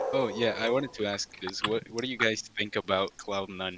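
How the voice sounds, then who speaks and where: A man speaks at a moderate pace in a fairly low voice. His intonation stays fairly even, with noticeable background noise behind him. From Chile. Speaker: music ranking podcast panelist. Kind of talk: casual chat.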